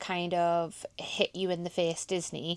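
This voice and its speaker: A woman at medium pitch speaks at a very slow pace in a slight Geordie accent. The recording is very clean with a silent background, the sound dry and close with no echo. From Scotland, Highlands near Inverness. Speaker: vlogger. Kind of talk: casual vlog chat.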